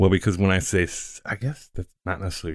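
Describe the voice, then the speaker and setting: A man talks with fairly even intonation. The recording is very clean, its background silent. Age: 40s. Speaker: podcast co-host. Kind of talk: casual chat.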